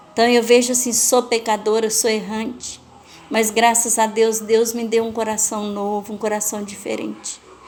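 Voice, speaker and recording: A woman's moderate pace of speech comes through over noticeable background noise. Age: 60s. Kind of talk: testimony.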